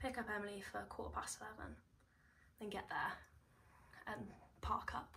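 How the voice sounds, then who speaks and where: Moderately paced whispering from a woman. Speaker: beauty vlogger. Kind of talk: casual get-ready-with-me chat. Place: home room. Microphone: phone near.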